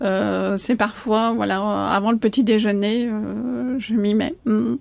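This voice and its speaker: The woman's voice is fairly high in pitch, heard over noticeable background noise. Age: 60s. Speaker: coach. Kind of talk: podcast interview. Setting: in person, by a marina. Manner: hesitant with many fillers.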